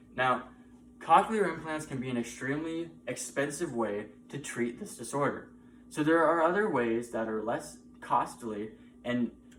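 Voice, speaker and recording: A man with an American accent speaks at a moderate pace with lively intonation. Audible room echo and noticeable background noise surround him. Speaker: college student. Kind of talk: class speech.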